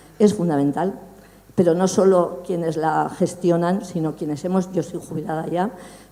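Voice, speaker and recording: Here a woman with a plain, everyday voice and a fairly low pitch speaks at a moderate pace. Her intonation is fairly even. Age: 60s. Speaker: audience member asking a question. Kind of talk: public Q&A question.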